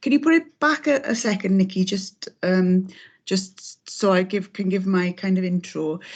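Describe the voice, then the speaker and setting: Against a quiet background, a woman with a somewhat breathy voice speaks at a medium pitch and a moderate pace, her intonation lively. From South Wales (Aberdare, Rhondda Cynon Taf). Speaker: abuse survivor and trainer. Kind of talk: testimony. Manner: hesitant, many fillers.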